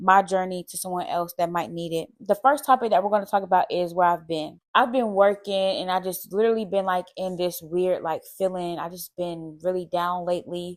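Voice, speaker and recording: A woman talks at a fairly quick pace with hardly any pauses. Her voice is medium in pitch with ordinary pitch variation. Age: 20s. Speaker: lifestyle vlogger. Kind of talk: casual monologue to camera. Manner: fast.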